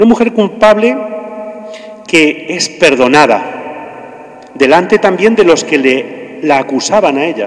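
A man at a fairly high pitch, speaking slowly with lively intonation over faint background noise.

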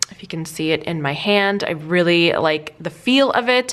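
A woman talks in a plain, everyday voice. Her pitch sits fairly low with ordinary variation, and her pace is fairly slow. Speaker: lifestyle vlogger. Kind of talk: casual tutorial chat.

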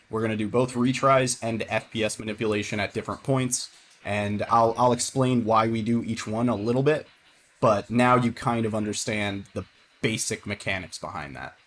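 Over light background noise, a man speaks at a moderate pace with medium pitch and ordinary pitch variation. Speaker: speedrunner streamer. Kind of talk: live stream game commentary. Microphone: headset.

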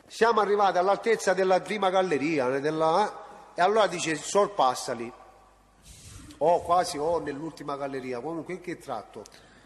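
Lively intonation marks this man's high-pitched voice, which moves at a moderate pace against noticeable background noise. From Reggio Calabria, southern Italy. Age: 40s. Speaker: witness, state informant. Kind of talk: court testimony. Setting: courtroom. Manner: halting.

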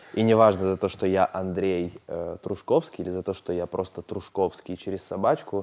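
Very deep and low in pitch, a man speaks at a moderate pace with fairly even intonation and hardly any pauses. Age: 30s. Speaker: businessman and blogger; interview guest. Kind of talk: therapy session. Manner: hesitant with filler sounds. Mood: candid, reflective. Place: studio. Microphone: lapel.

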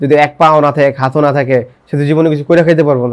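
His intonation stays monotone and flat. The man's pitch is fairly high. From Bangladesh, Gazipur (Kaliganj). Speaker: accident survivor, amputee. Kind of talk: personal life story testimony.

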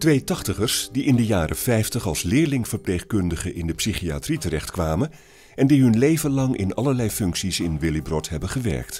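Music plays in the background as a man with a fairly low pitch speaks at a moderate pace, his pitch swinging very widely. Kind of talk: documentary trailer narration.

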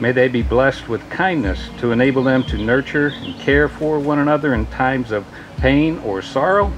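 A man speaks with ordinary pitch variation. Music plays in the background. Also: moderate pace. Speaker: ceremony reader giving a blessing. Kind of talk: prayer reading at a wedding. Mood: warm, solemn. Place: garden. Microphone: podium.

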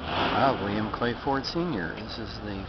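Against loud background noise, a man talks at a very slow pace in a dry sound with no echo. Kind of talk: commentary. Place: street. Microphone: phone near.

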